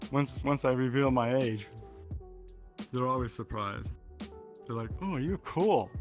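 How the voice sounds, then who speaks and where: Music plays in the background. A man talks at medium pitch and a fairly slow pace. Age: 60s. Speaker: VR gamer. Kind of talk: interview answer.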